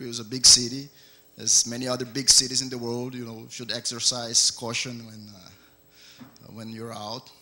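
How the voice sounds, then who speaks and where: The man's delivery is fairly slow and monotone, with flat intonation. Faint music plays in the background. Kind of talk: welcome speech. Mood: friendly, relaxed. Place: classroom. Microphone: handheld.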